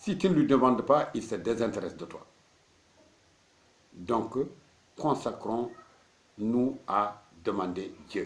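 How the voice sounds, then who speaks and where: At a very slow pace, a man with a medium pitch speaks with lively intonation and big swings in loudness. He leaves long, frequent pauses. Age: 60s. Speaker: marabout, Islamic spiritual teacher. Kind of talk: religious teaching talk.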